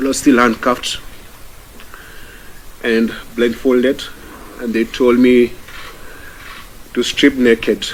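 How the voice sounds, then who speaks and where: A man's very slow speech over noticeable background noise. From Kenya. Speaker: activist. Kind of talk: testimony speech to audience.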